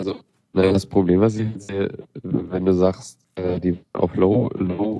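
Music plays behind a man with a very deep, low pitch. He talks at a very slow pace with fairly even intonation. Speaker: radio show co-host. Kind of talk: casual tech news chat. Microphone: unstable internet connection.

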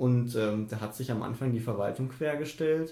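Somewhat breathy, a man's voice sits at a medium pitch with a dark, mellow tone. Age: 20s. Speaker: student union treasurer. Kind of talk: interview. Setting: office.

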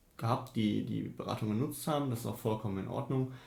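A man speaks at a fairly quick pace in a dark, mellow, somewhat breathy tone. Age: 20s. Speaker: student union treasurer. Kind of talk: interview. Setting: office.

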